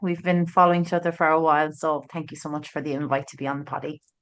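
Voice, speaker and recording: A woman with an Irish accent speaks at a very fast pace with fairly even intonation. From Ireland, Tralee, County Kerry. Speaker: author and agency owner. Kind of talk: podcast interview. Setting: in person in studio.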